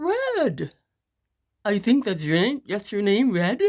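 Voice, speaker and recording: A put-on character voice, fairly high in pitch, moves along at a fairly slow pace. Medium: read story. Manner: hesitant, fake friendly.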